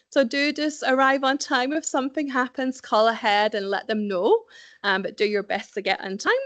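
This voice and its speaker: A woman with a Scottish accent talks at a fairly quick pace with ordinary pitch variation, the background quiet. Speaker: recruitment specialist. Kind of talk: presentation. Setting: event with live and online audience.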